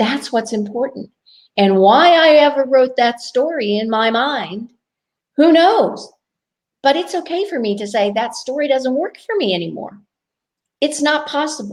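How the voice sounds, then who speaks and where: With lively intonation and a high pitch, a woman speaks at a fairly slow pace, leaving long, frequent pauses. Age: 60s. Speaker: life coach. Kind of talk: casual chat.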